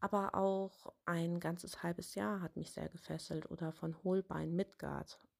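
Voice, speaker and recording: A woman with an unremarkable speaking voice talks at a fairly low pitch, with fairly even intonation and hardly any pauses. The sound is dry and close, with no echo. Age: 30s. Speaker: author. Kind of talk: interview answers.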